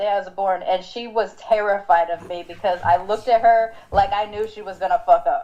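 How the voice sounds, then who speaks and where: A woman talks at a fairly quick pace with a fairly high pitch. Noticeable background noise is present. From Southern California, Long Beach/Compton. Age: 40s. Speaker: podcast host. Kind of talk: casual chat.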